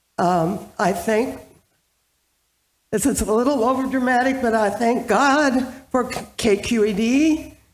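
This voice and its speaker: Amid audible room echo, a woman speaks at a fairly slow pace with a fairly high pitch and ordinary pitch variation. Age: 80s+. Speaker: audience member asking a question. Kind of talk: audience question. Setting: church hall with live audience.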